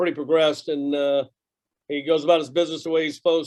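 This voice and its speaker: This man talks at a fairly quick pace in a flat, monotone delivery. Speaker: college baseball head coach. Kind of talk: press conference Q&A. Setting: video call from press box. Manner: loud.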